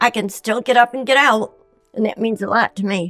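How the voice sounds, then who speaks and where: Music plays in the background as a speaker with an American accent talks at a moderate pace with ordinary pitch variation, the sound dry and close with no echo. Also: woman. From Elmira, New York, USA. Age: 80s+. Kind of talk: interview answer.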